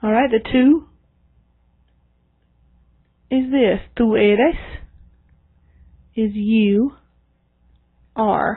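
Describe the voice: A woman's fairly high voice with a slightly husky edge, very slow, with long, frequent pauses. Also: ordinary pitch variation.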